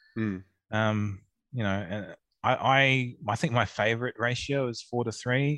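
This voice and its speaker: A man with an Australian accent speaks at a medium pitch and a fairly slow pace, with fairly even intonation. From Melbourne, Australia. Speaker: co-judge. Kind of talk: casual chat.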